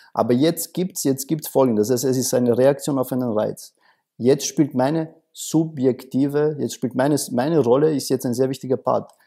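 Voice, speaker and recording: A man with a dark, mellow tone and fairly even intonation at a moderate pace, over a quiet background. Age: 30s. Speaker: coach. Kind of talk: interview. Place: studio. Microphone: lapel.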